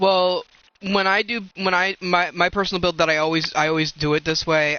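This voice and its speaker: This man talks at a moderate pace, his intonation fairly even and his loudness very even. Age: 30s. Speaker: video game streamer. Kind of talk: casual chat.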